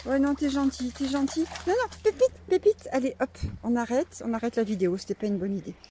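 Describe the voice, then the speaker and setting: A woman's high voice at a fairly quick pace with very wide pitch swings, dry and close with no echo. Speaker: donkey breeder. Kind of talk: casual vlog narration. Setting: outdoors. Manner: soft-spoken at times.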